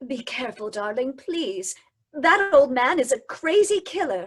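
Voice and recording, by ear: A woman's put-on character voice, high-pitched, with a slightly husky edge, a fairly slow pace and big pitch swings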